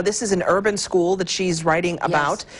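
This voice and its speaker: A woman speaks with lively intonation. Noticeable background noise can be heard behind her. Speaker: TV news interviewer. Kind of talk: TV interview host talk.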